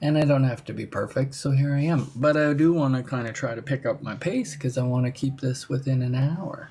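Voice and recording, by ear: The voice moves at a fairly quick pace with a dark, mellow tone. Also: ordinary pitch variation.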